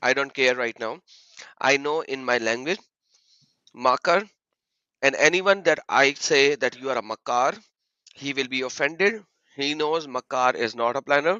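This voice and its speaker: A loud man with a fairly high pitch, a bright, sharp tone and ordinary pitch variation, long, frequent pauses, and a dry, close sound with no echo over a quiet background. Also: moderate pace. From Pakistan. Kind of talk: heated debate. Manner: animated.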